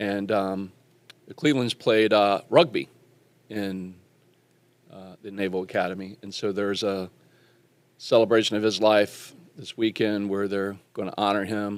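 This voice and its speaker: A man with a Southern US accent speaks at a moderate pace in a fairly low voice, with fairly even intonation and big swings in loudness. He takes long, frequent pauses, and the recording is very clean with a silent background. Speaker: podcast host. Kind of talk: casual chat.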